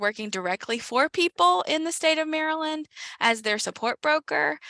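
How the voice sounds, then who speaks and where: A woman with an American accent speaks in a bright, sharp tone with very wide pitch swings, her voice dry and close with no echo on a very clean recording over a silent background. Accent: slight Southern US, comes out at times. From South Carolina. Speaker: former support broker, state program staff. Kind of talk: panel discussion.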